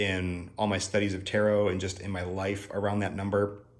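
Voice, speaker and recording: A man talks at a fairly quick pace with an American accent. Audible echo from the room is present. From US Midwest. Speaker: tarot artist and channel host. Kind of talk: video tutorial walkthrough. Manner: casual, filler-heavy.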